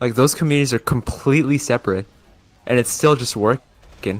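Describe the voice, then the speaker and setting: A fairly quick pace with ordinary pitch variation. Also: man. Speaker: YouTuber and streamer. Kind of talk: casual chat. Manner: very different intonation off-camera.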